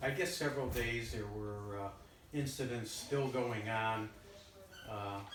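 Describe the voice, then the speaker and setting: A man with a Michigan accent speaks at a medium pitch and a fairly slow pace, with ordinary pitch variation and long, frequent pauses. Noticeable background noise and audible room echo surround him. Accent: Midwestern American (Michigan). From Detroit, Michigan. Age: 70s. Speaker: retired federal criminal investigator. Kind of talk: oral history interview. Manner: halting, many fillers.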